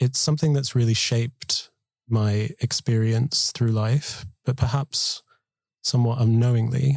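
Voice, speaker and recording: A man's medium-pitched, somewhat breathy voice with fairly even intonation, very even loudness, and a dry, close sound with no echo. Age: 20s. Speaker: collective member, storyteller. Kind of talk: scripted narration.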